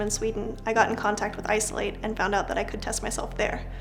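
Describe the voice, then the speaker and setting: A woman talks at a very fast pace in a fairly high voice. Music plays in the background. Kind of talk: interview answer.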